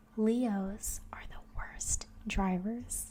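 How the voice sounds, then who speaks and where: A soft-spoken woman with a fairly high pitch and ordinary pitch variation. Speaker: ASMR creator. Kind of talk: soft-spoken ASMR facts narration for sleep. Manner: soft-spoken, relaxing.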